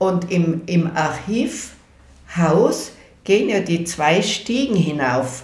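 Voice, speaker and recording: A woman with fairly low pitch and lively intonation talks at a very slow pace, her loudness very even. Noticeable background noise and audible room echo fill the recording. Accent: Tyrolean. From Innsbruck, Tyrol, Austria. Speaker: elderly eyewitness recounting local history. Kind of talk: oral history interview. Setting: at her home.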